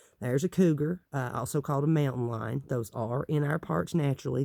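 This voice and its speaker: A man with a Southern Appalachian accent speaks at a fairly quick pace in a fairly high voice. His tone is dark and mellow, with ordinary pitch variation. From Appalachia, East Tennessee. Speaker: tarot deck reviewer. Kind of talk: casual talk to camera.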